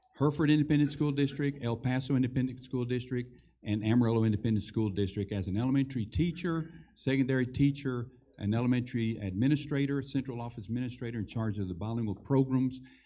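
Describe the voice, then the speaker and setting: Talking at a very fast pace, a man with a West Texas accent has a medium pitch, a dark, mellow tone and ordinary pitch variation. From Texas Panhandle. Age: 70s. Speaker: school board candidate. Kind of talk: candidate forum speech. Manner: halting.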